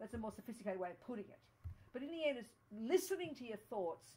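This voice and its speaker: The delivery is animated and somewhat breathy, with lively intonation. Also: woman. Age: 70s. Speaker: Buddhist nun teacher. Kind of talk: dharma talk. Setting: study group room with audience.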